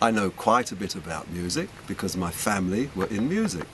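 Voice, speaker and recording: A man's very deep, low voice at a fairly quick pace, amid noticeable background noise. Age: 70s. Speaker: record shop owner. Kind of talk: interview.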